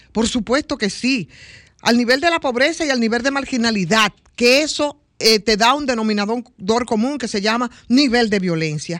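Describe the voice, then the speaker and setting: On a very clean recording with a silent background, a woman with a plain, everyday voice speaks at a fairly high pitch and moderate pace with lively intonation. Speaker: radio panelist. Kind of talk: radio talk show discussion.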